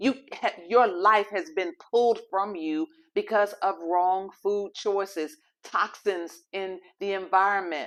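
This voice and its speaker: A woman speaks at a very slow pace. Her voice sits at medium pitch with ordinary pitch variation. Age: 60s. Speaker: health and faith show host. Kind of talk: motivational health talk. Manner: pleading, emphatic.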